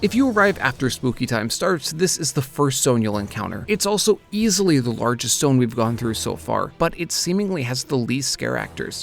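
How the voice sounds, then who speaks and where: Over music in the background, a man talks fairly quickly at medium pitch with very wide pitch swings. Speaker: theme park vlogger. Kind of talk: theme park vlog narration.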